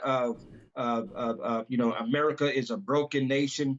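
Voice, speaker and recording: A man speaks at a moderate pace in a fairly high pitch. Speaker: pastor. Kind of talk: interview. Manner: loud.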